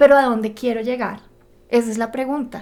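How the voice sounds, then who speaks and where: A woman with a Bogotá accent, monotone and flat in intonation. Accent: Bogotá (rolo) Spanish. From Bogotá, Colombia. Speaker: podcast co-host, personal development. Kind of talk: podcast conversation.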